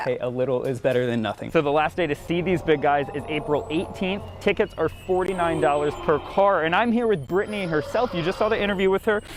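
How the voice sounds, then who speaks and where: A man with an American accent talks at a very fast pace in a high pitch, with lively intonation and hardly any pauses, over music in the background. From Arizona, United States. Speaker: television reporter and anchor. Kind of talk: field news reporting and anchor delivery. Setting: outdoors, on location.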